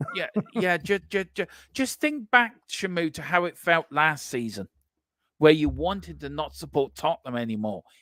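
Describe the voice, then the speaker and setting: Recorded dry and close with no echo, a man with an English accent speaks in a fairly high pitch and a bright, sharp tone at a moderate pace, his pitch swinging very widely. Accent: English-sounding. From Ireland. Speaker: sports watchalong host. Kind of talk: casual chat.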